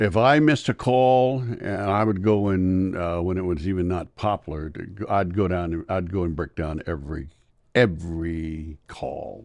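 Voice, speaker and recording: The speaker has an American accent and lively intonation at a moderate pace. The background is quiet. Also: man, very deep, low pitch for a man. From US South. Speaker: retired school superintendent and former basketball referee. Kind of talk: interview.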